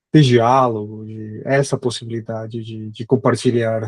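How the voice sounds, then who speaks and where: A man's monotone, flat delivery comes through with a dry, close sound and no echo. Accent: Spanish. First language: Spanish (speaking Portuguese). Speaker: history professor. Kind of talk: academic lecture. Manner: halting, many fillers.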